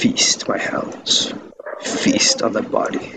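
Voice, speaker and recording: In a put-on character voice, a man speaks raspily at a very slow pace. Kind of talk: playful in-character banter. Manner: menacing, boastful.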